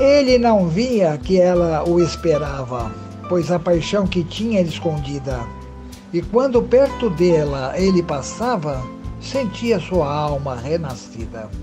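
Against music in the background, a man talks at a very slow pace in a high pitch with very wide pitch swings. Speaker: poet. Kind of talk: poetry reading.

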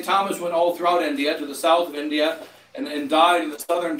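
A man's voice carries audible room echo with light background noise behind it. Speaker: clergyman preaching. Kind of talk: sermon. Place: home room. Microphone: camera far.

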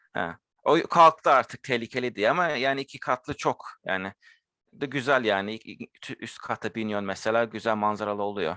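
In a very clean, dry, close recording with a silent background and no echo, a man speaks at a moderate pace and a medium pitch, his tone bright and sharp with ordinary pitch variation. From London, England (Turkish family). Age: 20s. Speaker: university lab technician. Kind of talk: casual interview.

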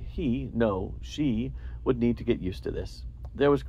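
Here we have reading aloud in a natural voice.

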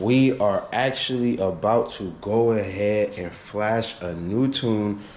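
A man speaks with a fairly low pitch and ordinary pitch variation. Audible room echo surrounds his voice. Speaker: car vlogger. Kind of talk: casual vlog chat. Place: garage. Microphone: phone near.

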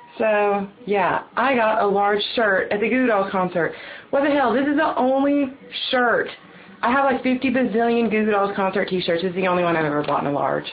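Here a woman with a Southern US accent talks at a fairly quick pace with few pauses. Her pitch is medium, with ordinary pitch variation.

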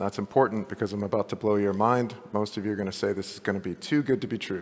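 A man with an unremarkable speaking voice talks in a fairly low pitch. His intonation is fairly even. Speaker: presenter. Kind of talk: conference talk. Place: hall.

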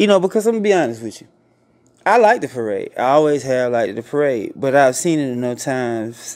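This man talks at a very fast pace and a medium pitch, with very wide pitch swings. The background is quiet. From US South, Georgia. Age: 40s. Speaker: online show host. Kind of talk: casual interview. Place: home room. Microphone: studio mic.

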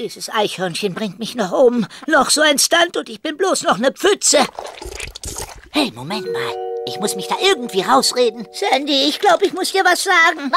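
With clear music in the background, a man uses a raised, projected voice at an extremely high pitch and a moderate pace. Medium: audio drama. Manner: whiny, pleading, nervous.

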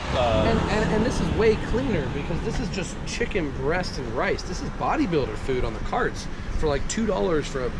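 A man at a fairly quick pace against loud background noise. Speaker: vlogger. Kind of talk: casual vlog chat. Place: street. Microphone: phone near.

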